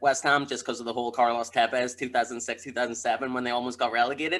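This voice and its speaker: A man with a Northern Irish accent speaks at a medium pitch in a bright, sharp tone, his intonation fairly even. The recording is very clean, with a silent background. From Belfast, Northern Ireland. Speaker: comedian. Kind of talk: casual podcast interview answer.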